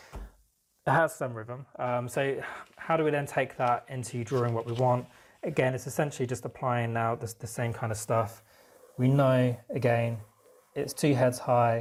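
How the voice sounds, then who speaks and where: A man with a normal speaking voice, medium in pitch, at a moderate pace with fairly even intonation, on a very clean recording with a silent background. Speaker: art teacher. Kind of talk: tutorial.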